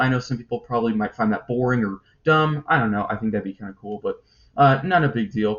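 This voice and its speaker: Somewhat breathy, a man talks at a very fast pace with a medium pitch. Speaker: toy review youtuber. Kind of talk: casual news commentary video. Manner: hesitant, many fillers.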